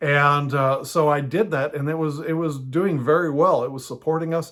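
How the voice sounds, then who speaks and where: Speaking at a moderate pace with fairly even intonation, a man has an unremarkable speaking voice at a fairly high pitch. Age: 60s. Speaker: house church pastor and teacher. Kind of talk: teaching talk.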